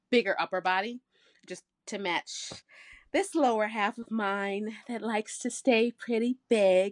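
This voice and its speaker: A woman with a plain, everyday voice and an American accent, medium pitch, fairly slow pace, dry, close sound with no echo, and a quiet background. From Michigan. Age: 30s. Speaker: bikini competitor and fitness coach. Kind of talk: casual chat.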